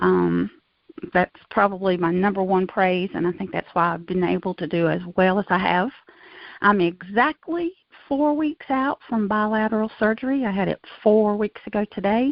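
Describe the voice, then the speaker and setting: Here a woman talks at a moderate pace. Hers is an unremarkable speaking voice at a medium pitch. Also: lively intonation. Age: 60s. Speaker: knee replacement patient. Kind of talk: interview testimony.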